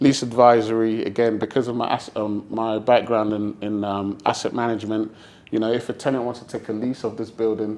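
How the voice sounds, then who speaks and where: A man with a fairly low pitch delivers his words at a fairly quick pace in a monotone, flat intonation. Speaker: chartered surveyor giving a presentation. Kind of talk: business presentation. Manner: fast.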